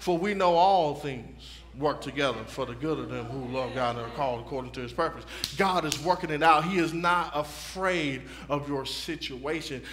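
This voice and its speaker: A man delivers his words at a moderate speed, his pitch varying in an ordinary way, while light background noise plays behind him. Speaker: preacher. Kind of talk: sermon. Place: church.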